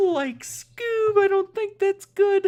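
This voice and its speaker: An extremely high-pitched voice. It is a put-on character voice. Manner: goofy, worried.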